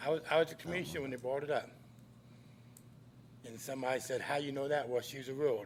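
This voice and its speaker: Big swings in loudness mark this man's fairly high voice as he speaks at a very fast pace, broken by long, frequent pauses. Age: 60s. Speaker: citizen commenter at public meeting. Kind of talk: public comment. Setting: city commission meeting chamber. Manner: animated.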